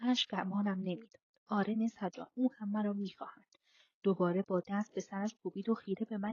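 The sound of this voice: In an unforced reading voice with fairly even intonation, the speaker reads against a quiet background.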